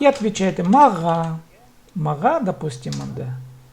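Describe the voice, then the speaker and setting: A man's voice over noticeable background noise. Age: 30s. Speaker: language teacher. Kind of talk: online language lesson. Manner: slow, repetitive drilling.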